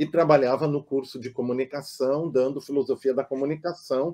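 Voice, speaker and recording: Speaking at a moderate pace, a man has a dark, mellow tone and medium pitch. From southern Brazil, German-speaking community. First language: German (speaking Portuguese). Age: 60s. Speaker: psychoanalyst. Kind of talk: casual interview conversation. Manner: hesitant, with filler sounds.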